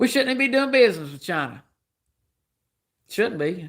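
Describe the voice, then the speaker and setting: With a Southern US accent, a man speaks in a high pitch and animated tone, his pitch swinging very widely at a moderate pace, in a very clean recording with a silent background. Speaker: livestreamer. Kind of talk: political rant on livestream. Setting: live stream.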